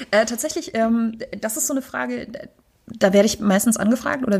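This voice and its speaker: A woman is talking. Her voice is fairly high. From Germany. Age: 30s. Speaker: poetry slammer and queer network worker. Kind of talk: casual chat.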